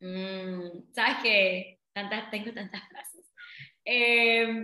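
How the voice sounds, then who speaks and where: A woman's fairly high, bright and sharp voice at a very slow pace. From Panama, Colón. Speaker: business coach. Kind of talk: interview.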